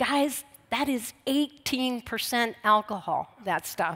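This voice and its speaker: An ordinary speaking voice with an American accent moves at a fairly slow pace with ordinary pitch variation, recorded very cleanly against a silent background with a dry, close sound and no echo. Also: woman. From US Midwest, Columbus, Ohio. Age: 60s. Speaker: recovery speaker. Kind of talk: testimony.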